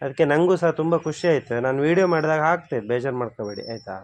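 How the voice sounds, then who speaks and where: This man has a normal speaking voice and a fairly high pitch. His intonation is lively. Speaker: YouTube vlogger, interviewer. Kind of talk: interview questions, casual talk.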